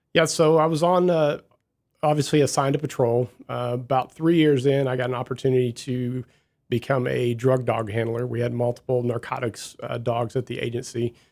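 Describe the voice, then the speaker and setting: A man with a Midwestern accent talks at medium pitch with fairly even intonation. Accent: non-Texan, Midwestern. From US Midwest, Southern Illinois. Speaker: police chief. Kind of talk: radio interview.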